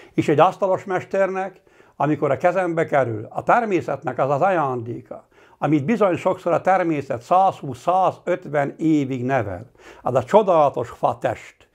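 Against a quiet background, a man with a fairly high pitch speaks at a fairly slow pace with lively intonation. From Hungary, Palóc region (Nógrád); Hungary. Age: 60s. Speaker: master carpenter. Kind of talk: personal testimony. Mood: earnest, reflective. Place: home room. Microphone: lapel.

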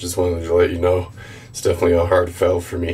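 Speaking at a fairly quick pace, a man uses a very deep, low voice. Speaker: product reviewer. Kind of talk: casual vlog review. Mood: disappointed. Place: bathroom.

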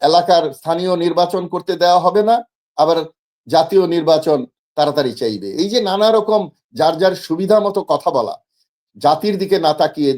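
Pitched high, a man's voice shows ordinary variation in pitch. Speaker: political commentator. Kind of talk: talk show discussion.

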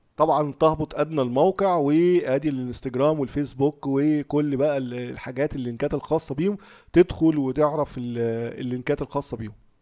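Against a quiet background, a man with a fairly high voice and a dark, mellow tone keeps a moderate pace with hardly any pauses. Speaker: forex trading youtuber. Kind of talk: tutorial. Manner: animated.

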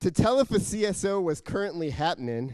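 With an animated, playful tone, a man speaks at a moderate pace with lively intonation over a quiet background. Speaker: poet and civic tech volunteer. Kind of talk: spoken-word poem, rhymed verse with a punchline rhythm, performed to an audience. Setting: stage with audience. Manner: animated, playful, comic timing with rhyme and laughter. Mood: humorous, smiling. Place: hall. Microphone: handheld.

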